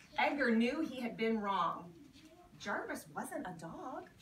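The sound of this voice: With big pitch swings and a fairly high pitch, a woman speaks at a slow pace amid audible room echo.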